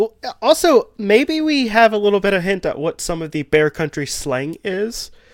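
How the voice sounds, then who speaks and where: A man with a Kentucky accent speaks at a moderate pace and a high pitch, with very wide pitch swings, in a very clean recording with a silent background. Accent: Kentucky Southern US. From Kentucky, US South. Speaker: podcaster. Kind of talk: casual chat.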